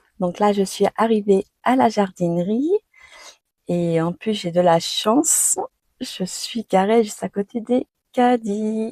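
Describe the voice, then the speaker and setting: A dark, mellow tone moves at a very slow pace, with ordinary pitch variation and long, frequent pauses. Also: woman, medium pitch for a woman. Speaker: French teacher. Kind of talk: vlog-style language lesson. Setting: garden centre, on location. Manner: animated.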